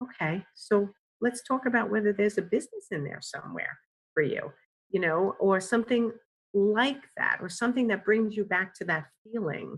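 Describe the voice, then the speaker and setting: A somewhat breathy voice in a New York accent with ordinary pitch variation. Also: woman, medium pitch for a woman, moderate pace. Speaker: career coach. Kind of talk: podcast interview answer.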